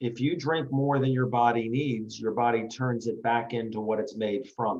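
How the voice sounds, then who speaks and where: An ordinary speaking voice from a man at medium pitch, moderate pace, fairly even intonation and very even loudness. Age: 60s. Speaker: retired foot surgeon, product promoter. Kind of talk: interview presentation. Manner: short sentences with pauses for translation. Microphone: laggy connection.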